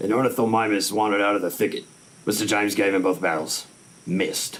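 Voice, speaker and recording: A man does a put-on character voice, fairly low and raspy, at a very fast pace. His intonation stays fairly even and his loudness very even. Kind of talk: 1950s radio drama acting. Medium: old radio play. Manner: laconic, even.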